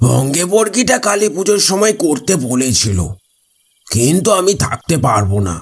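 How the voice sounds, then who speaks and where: A man puts on a character voice with a fairly high pitch, very wide pitch swings, and a fairly slow pace. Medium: read story.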